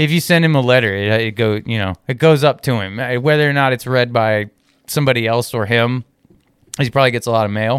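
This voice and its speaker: Very fast speech from a man with an American accent, medium pitch, ordinary pitch variation, and a dry, close sound with no echo. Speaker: YouTuber and traveler. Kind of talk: casual chat. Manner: animated, talkative.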